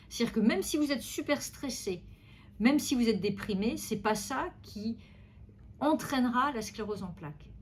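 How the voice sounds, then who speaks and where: Her fairly high voice shows vocal fry and lively intonation as the woman moves at a moderate pace, broken by long, frequent pauses. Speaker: neurologist. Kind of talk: medical consultation interview.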